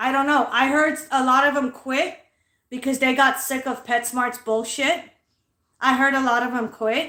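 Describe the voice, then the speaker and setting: Loud and animated, a woman with a high pitch speaks at a moderate pace with an American accent. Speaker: livestreamer. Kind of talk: angry rant on a livestream.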